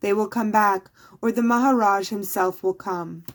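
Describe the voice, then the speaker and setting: A woman uses a put-on character voice with a medium pitch. Her intonation is fairly even, and her pace is moderate. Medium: read story.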